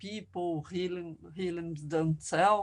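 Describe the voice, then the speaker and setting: A woman's fairly low-pitched voice in a Portuguese accent, with fairly even intonation at a fairly slow pace. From Brazil. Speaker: filmmaker and anthropologist. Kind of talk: academic workshop presentation. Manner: halting, with many repetitions.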